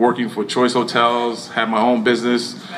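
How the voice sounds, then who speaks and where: A man's medium-pitched voice at a fairly slow pace, with noticeable background noise and audible room echo. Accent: American. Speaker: former actor and architect, speaking at a community event. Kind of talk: speech to an audience. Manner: halting.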